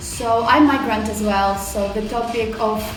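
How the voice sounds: A woman speaks at a medium pitch, with audible room echo around her.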